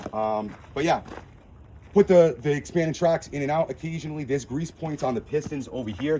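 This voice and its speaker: Noticeable background noise fills the clip. Over it, a man speaks with lively intonation. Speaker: equipment dealer. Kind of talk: product walk-through. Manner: fast.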